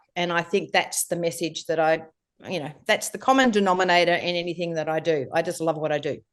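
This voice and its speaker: A woman with a fairly low pitch, ordinary pitch variation and a very fast pace. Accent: Australian. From Australia. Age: 60s. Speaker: life coach and entrepreneur. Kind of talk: podcast interview. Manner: hesitant with many fillers.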